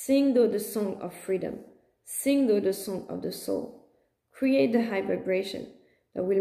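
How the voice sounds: In a natural reading voice with ordinary pitch variation, the speaker reads over a quiet background.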